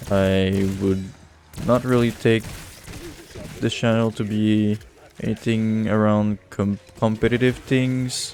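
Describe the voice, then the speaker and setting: A man's fairly low voice at a very slow pace, monotone and flat, with very even loudness and long, frequent pauses. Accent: strong French Canadian. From Quebec. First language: French. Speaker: gaming streamer. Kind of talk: casual chat. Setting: recording while playing a game. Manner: casual, distracted with hesitations.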